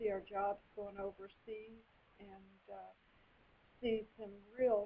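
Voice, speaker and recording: A woman with an East Tennessee accent speaks at a fairly slow pace in a medium pitch, her intonation flat and monotone. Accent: US Southern (East Tennessee). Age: 60s. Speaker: political candidate, retired doctor. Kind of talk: interview.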